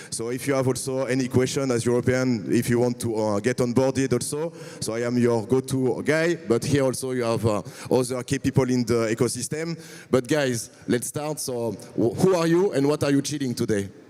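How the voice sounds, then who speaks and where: A man with a French accent, medium pitch, ordinary pitch variation and a fairly quick pace, over noticeable background noise. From France. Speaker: event host, crypto community lead. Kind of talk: panel moderation at a conference.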